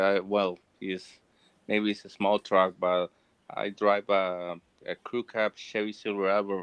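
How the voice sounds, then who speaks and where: A man speaking fairly slowly in a monotone, flat intonation. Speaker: aspiring HVAC technician. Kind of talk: casual chat.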